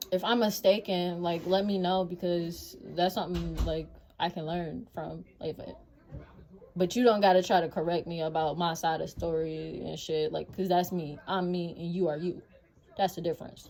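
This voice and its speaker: A woman's fairly low-pitched voice at a moderate pace, with fairly even intonation and music in the background. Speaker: vlogger. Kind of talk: casual monologue. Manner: loud.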